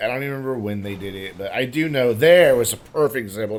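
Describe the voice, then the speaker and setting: Here a man talks at a very fast pace. His pitch is medium, with ordinary variation. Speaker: gaming youtuber. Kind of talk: gameplay commentary. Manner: casual, hesitant.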